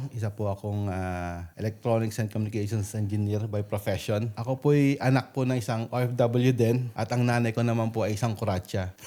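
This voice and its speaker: A man with a dark, mellow tone, fairly even intonation and hardly any pauses. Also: fairly quick pace. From Philippines, Valenzuela (Metro Manila). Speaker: overseas worker and real estate entrepreneur. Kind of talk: interview, telling life story.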